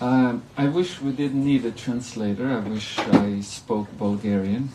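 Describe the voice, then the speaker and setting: Over noticeable background noise and audible room echo, a man speaks at a medium pitch and a very slow pace. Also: ordinary pitch variation. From Croatia. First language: Croatian (speaking Bulgarian). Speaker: monk lecturer. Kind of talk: religious lecture.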